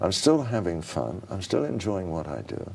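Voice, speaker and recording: At a moderate pace, a man talks with a very deep, low pitch. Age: 70s. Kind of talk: interview.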